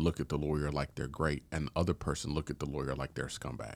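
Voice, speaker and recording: A man with an American accent speaks with vocal fry on a very clean recording with a silent background. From Houston, Texas. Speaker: prosecutor. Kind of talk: casual chat.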